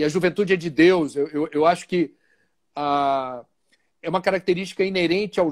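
High-pitched male speech at a moderate pace, ordinary in pitch variation, with a dry, close sound and no echo. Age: 50s. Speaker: journalist and spiritist speaker. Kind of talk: interview on a livestream.

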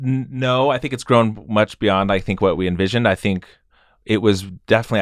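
In a very clean recording with a silent background and a dry, close sound with no echo, a man with an American accent speaks at a very fast pace. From Idaho, US. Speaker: music festival co-founder and musician. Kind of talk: podcast interview.

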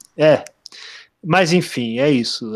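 A man's voice, dry and close with no echo. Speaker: literature podcast co-host. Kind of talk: casual chat.

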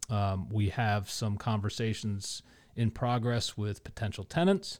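In an American accent, a man with a fairly low voice speaks at a fairly slow pace on a very clean recording with a silent background. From Connecticut. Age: 40s. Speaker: arts nonprofit board member and former DJ. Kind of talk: casual interview. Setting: studio. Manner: halting, many filler words.

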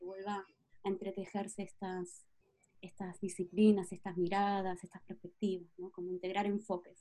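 The woman's voice has a dark, mellow tone. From Patagonia, Argentina. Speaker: astrologer and project leader. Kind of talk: interview conversation.

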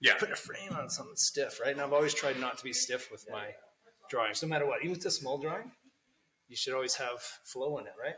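A man mumbles with a Canadian accent. He talks at a very fast pace. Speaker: tattoo artist. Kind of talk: casual chat. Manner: mumbling.

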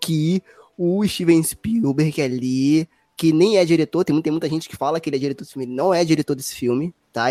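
The recording is dry and close, with no echo. A man speaks in a dark, mellow tone with ordinary pitch variation. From Brazil. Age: 20s. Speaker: podcast host. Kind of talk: casual chat.

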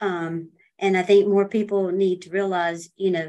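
Her intonation fairly even, a woman speaks in an American accent at a medium pitch. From US South, Myrtle Beach, South Carolina. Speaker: real estate broker. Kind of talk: interview. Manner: hesitant, many fillers.

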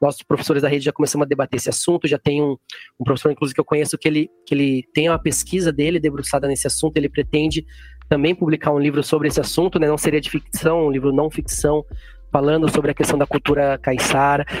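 A man's fairly high voice, very fast and monotone, with very even loudness and a dry, close sound with no echo. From São Paulo interior, Jundiaí. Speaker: writer and geography teacher. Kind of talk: interview. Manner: halting, many fillers.

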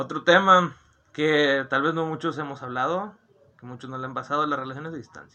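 A man with a fairly high, bright, sharp voice talks at a fairly quick pace, his loudness swinging widely while his intonation stays fairly even. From Monterrey, Nuevo León, Mexico. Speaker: podcast host. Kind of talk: casual chat.

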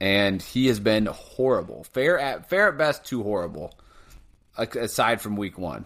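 This man has a normal speaking voice, fairly low in pitch, with lively intonation at a moderate pace. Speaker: podcast co-host. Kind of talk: casual banter about sports. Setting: remote recording over internet. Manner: profane, rant-like.

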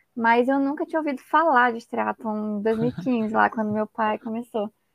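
A woman talks with an unremarkable speaking voice and fairly high pitch. Her pace is moderate. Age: 20s. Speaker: former triathlete and physical education student. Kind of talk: casual interview.

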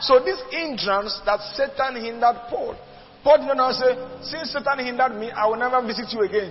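A man talks at an extremely high pitch with lively intonation. Music plays in the background. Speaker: preacher. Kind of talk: sermon.

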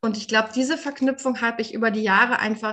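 A woman speaks with a plain, everyday voice. Her pitch is fairly high and her intonation fairly even. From Germany. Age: 30s. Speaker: recovering alcoholic, nonprofit worker. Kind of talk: interview testimony.

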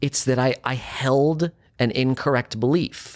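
A man speaks at a medium pitch with ordinary pitch variation and a plain, everyday voice. The recording is very clean with a silent background, dry and close with no echo. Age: 40s. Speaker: actor. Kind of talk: casual chat.

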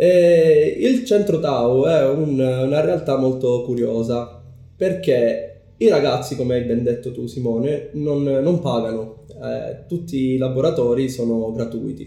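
Over music in the background, a man speaks at a medium pitch and a very slow pace with ordinary pitch variation. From Sicily, Palermo. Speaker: community organizer. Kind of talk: casual interview. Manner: hesitant with fillers.

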